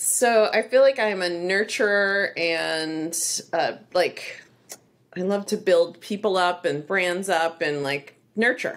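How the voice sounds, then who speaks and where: With an American accent, a woman of medium pitch speaks at a fairly slow pace, using ordinary pitch variation and long, frequent pauses. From Texas, Laredo. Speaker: beauty brand founder. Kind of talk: interview conversation. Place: home room.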